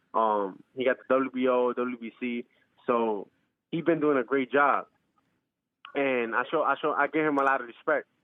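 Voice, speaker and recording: A medium-pitched male voice at a moderate pace, with fairly even intonation. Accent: New York. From New York, Bronx. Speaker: professional boxer. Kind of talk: interview. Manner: halting, repeats words.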